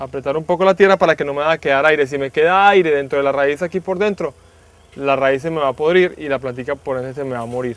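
Very fast speech from a man, with ordinary pitch variation and a dry sound with no echo. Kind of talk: tutorial explanation for agricultural TV. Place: garden.

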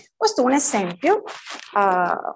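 With a Spanish accent, a woman talks at a fairly slow pace. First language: Spanish (speaking Italian). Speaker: PhD student in semiotics. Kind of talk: conference talk.

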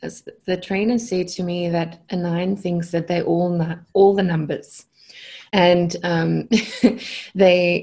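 Over a quiet background, a woman speaks at a very slow pace in a dark, mellow tone that is somewhat breathy. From South Africa. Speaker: consciousness coach. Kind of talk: podcast interview answer. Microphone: earbuds.

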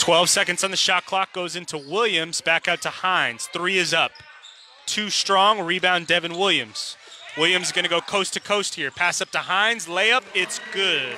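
A man at a high pitch and moderate pace, ordinary pitch variation, dry sound with no echo, light background noise. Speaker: sports commentator. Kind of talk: live sports commentary, play-by-play of a basketball game. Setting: arena broadcast of a game. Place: hall.

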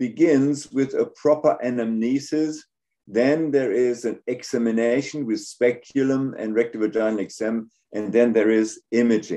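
In a German accent, a man speaks at medium pitch with a dark, mellow tone, fairly even intonation and a fairly slow pace against a quiet background. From Germany. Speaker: gynecologic surgeon and professor. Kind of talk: lecture. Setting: video call. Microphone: video call.

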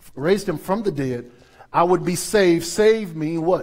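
An animated, high-pitched man with an American accent at a moderate pace, against a quiet background. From US South, New Orleans; Louisiana. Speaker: pastor. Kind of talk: sermon. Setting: church. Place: church. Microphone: headset.

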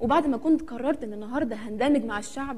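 A woman speaks at a fairly quick pace in a high voice. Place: stage.

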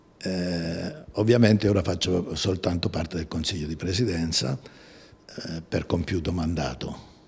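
A man speaks fairly slowly in a very deep, low voice. His pitch varies in an ordinary way. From southern Italy, Amalfi coast; southern Italy. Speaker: company president, engineer. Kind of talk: interview. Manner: halting, many hesitations. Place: office. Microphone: handheld.

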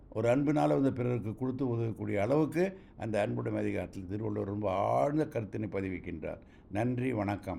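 Here a man speaks at a fairly low pitch. His tone is dark and mellow, with lively intonation. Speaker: retired college lecturer. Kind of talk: recorded voice note explaining a couplet. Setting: voice note recording. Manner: formal.

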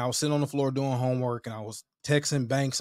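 A man talks in an animated tone. The sound is dry with no echo, set against a quiet background. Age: 30s. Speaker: podcast host. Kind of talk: casual solo commentary. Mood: reflective, somber at times. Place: home room. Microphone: studio mic.

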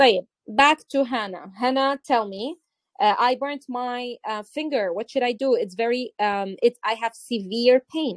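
A woman speaks at a fairly slow pace with a Levantine accent, her high voice showing ordinary pitch variation in a dry, close sound with no echo. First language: Arabic. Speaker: English teacher. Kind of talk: online English class.

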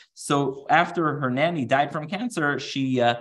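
A man's fairly bright tone carries ordinary pitch variation.

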